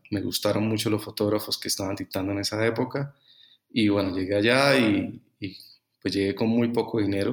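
Recorded very cleanly against a silent background, a man with a plain, everyday voice speaks at a fairly low pitch and moderate pace, with fairly even intonation. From Colombia, Bucaramanga. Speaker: fashion photographer. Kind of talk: interview.

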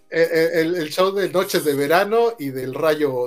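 A man speaks with ordinary pitch variation. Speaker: podcast co-host. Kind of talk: casual chat. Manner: halting.

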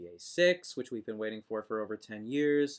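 A man's pitch varies in an ordinary way at a moderate pace. He has an ordinary speaking voice. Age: 20s. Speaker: podcast co-host. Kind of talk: casual chat.

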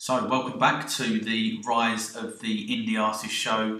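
A man's voice comes through with noticeable noise behind it. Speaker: radio show presenter. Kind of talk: radio DJ patter introducing tracks.

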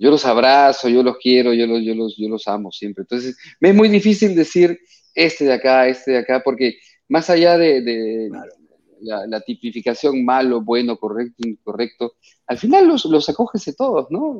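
Speech moves at a moderate pace with lively intonation. No echo colors the dry, close sound. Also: man, medium pitch for a man. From Peru. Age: 50s. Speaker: actor. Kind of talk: radio interview. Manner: halting, repeats words.

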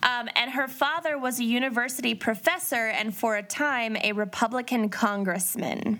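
Speaking with an American accent at a moderate pace, a woman uses a fairly high pitch and ordinary pitch variation against noticeable background noise. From Minnesota. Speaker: podcast co-host. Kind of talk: casual chat with case narration.

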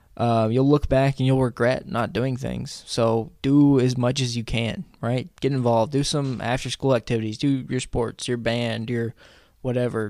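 In a very clean recording with a silent background, an unremarkable speaking voice moves at a moderate pace with fairly even intonation. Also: man. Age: 20s. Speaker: college student and radio worker. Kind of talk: casual interview chat. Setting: studio.

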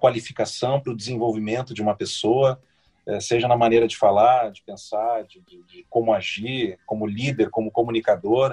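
Somewhat breathy, the dark, mellow tone comes at a moderate pace in a dry, close sound with no echo. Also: man. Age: 40s. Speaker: radio broadcaster. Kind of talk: casual interview chat. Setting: podcast interview. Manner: halting, many repetitions.

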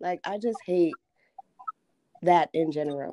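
A woman's voice with very wide pitch swings, dry and close with no echo. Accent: New Jersey. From New Jersey. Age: 20s. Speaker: podcast guest. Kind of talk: casual chat.

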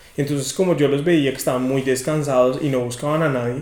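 With audible room echo and noticeable background noise, a man speaks very fast in a fairly high pitch with fairly even intonation. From Colombia, rural Cundinamarca (Guachetá). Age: 20s. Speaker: podcast guest, young professional. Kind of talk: casual chat.

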